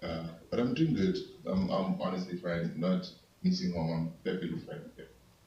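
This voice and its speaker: A man with long, frequent pauses and audible room echo. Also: moderate pace, big swings in loudness. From Zimbabwe. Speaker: college student. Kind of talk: class introduction. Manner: halting.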